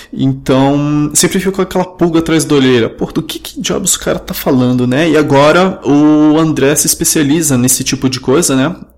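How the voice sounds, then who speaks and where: Noticeable background noise behind a voice of ordinary pitch variation. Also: man, fairly high pitch for a man, moderate pace. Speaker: podcast host. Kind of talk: interview. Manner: casual.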